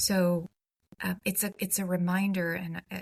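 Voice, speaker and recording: A woman talks at medium pitch and a fairly slow pace. Her somewhat breathy voice sounds dry and close, with no echo. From Croatia, Dubrovnik. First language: Croatian. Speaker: humanities nonprofit executive. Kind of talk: podcast interview. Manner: conversational with many fillers and restarts.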